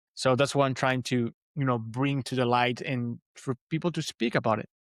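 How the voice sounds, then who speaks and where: A man with a Spanish accent talks at a moderate pace and a medium pitch, his intonation fairly even and the sound dry and close with no echo. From Venezuela. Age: 30s. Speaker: podcaster and motivational coach. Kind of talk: interview conversation. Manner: halting, many fillers and repeats.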